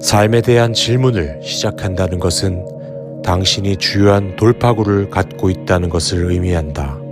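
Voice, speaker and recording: Over music in the background, a man with a very deep, low pitch speaks at a fairly slow pace with ordinary pitch variation. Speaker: meditation guide. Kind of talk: guided meditation affirmation for sleep.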